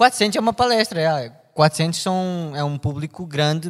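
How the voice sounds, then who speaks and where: A man with a European Portuguese accent speaks with lively intonation. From Portugal. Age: 20s. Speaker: podcast co-host. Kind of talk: casual chat.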